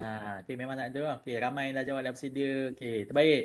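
A man with a Malaysian accent speaks at a moderate pace. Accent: Malaysian Malay. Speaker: webinar host. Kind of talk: casual webinar hosting. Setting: online webinar. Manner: casual, chatty. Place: home room. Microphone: webcam.

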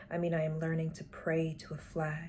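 A woman speaks at a moderate pace in a fairly low, dark, mellow tone that is somewhat breathy. Her intonation is monotone and flat, and there is noticeable background noise. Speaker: poet reading her own work. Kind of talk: poetry reading. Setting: online live stream session. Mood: calm, earnest, intimate. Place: home room. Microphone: webcam.

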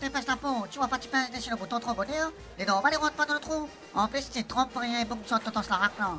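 Over clear background music, a woman races along at a very fast pace in a high-pitched, put-on character voice with ordinary pitch variation. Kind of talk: comic overacting. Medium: audio drama. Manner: grumbling, scolding.

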